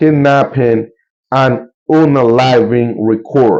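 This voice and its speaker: This man speaks very slowly with a Colombian accent and a dark, mellow tone. His pitch is medium, with ordinary variation. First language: Spanish. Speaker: YouTuber and local tour guide. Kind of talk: casual news commentary to camera. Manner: casual, halting with many fillers.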